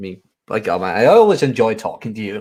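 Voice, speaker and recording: A man talks with a slight Dutch accent. His pace is moderate. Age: 20s. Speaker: audiobook narrator. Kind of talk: casual chat.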